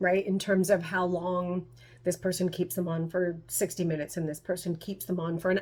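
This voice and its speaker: Talking at a very fast pace, a woman holds a medium pitch. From Canada. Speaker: tarot reader. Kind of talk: casual vlog talk to camera.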